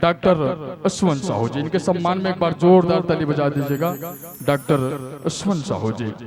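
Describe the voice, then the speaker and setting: A man with lively intonation, music in the background. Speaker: stage emcee. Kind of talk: stage emceeing. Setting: stage with audience. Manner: formal.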